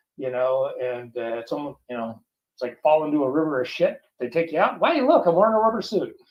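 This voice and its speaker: Speaking at a fairly quick pace with an American accent, a man uses a fairly high pitch and lively intonation. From US West Coast, Oxnard, California. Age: 60s. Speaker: musician and visual effects artist, author. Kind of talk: interview. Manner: animated.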